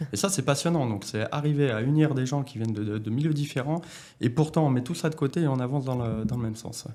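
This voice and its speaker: Talking at a very fast pace, a man with a medium-pitched voice and a dark, mellow tone uses ordinary pitch variation. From France, Lyon area (Bron). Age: 30s. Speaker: company director. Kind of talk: interview. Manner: hesitant, many filler sounds.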